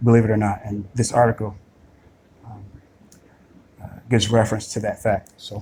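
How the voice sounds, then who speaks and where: The voice is somewhat breathy, with a dark, mellow tone and monotone, flat intonation. Long, frequent pauses break up the speech. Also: man, fairly low pitch for a man, big swings in loudness. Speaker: video blogger. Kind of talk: screen-recorded monologue. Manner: slow; halting, many fillers.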